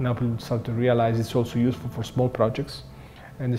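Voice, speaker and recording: With an Italian accent, a man talks at a medium pitch. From Italy, Rome. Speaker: professor. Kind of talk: interview. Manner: hesitant, many fillers.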